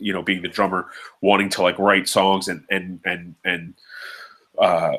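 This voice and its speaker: On a very clean recording with a silent background, a man speaks loudly in a very deep, low pitch with a bright, sharp tone and monotone, flat intonation. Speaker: drummer. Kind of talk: casual chat.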